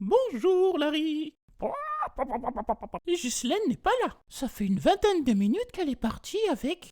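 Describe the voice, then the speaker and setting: Someone puts on a character voice at a moderate pace, with very wide pitch swings and long, frequent pauses. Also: man, extremely high pitch for a man. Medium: read story.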